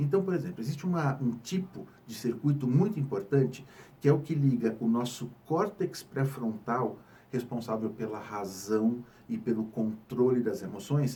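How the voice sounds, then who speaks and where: A man's medium-pitched, dark and mellow voice, somewhat breathy, with lively intonation at a moderate pace. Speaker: psychiatrist. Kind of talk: health education talk.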